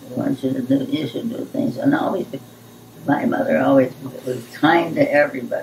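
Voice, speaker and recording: Audible room echo and light background noise accompany a woman as she talks. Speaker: grandmother being interviewed. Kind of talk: interview answer. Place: home room.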